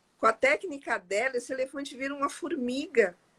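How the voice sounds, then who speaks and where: This is a woman speaking with ordinary pitch variation. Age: 60s. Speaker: interview guest sharing life story. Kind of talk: testimony in casual interview.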